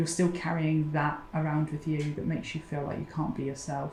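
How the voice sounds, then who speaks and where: Talking fairly quickly in a southern English accent, a woman speaks at a fairly low pitch in a flat monotone. Her voice is somewhat breathy, and room echo can be heard. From southern England, Oxfordshire. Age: 40s. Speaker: mental health support founder. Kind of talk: interview.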